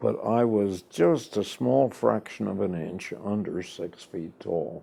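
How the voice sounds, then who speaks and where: With an American accent, a man speaks in a very deep, low voice with a dark, mellow tone. His pace is very slow, yet his intonation stays lively. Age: 90s. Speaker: war veteran. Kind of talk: oral history interview.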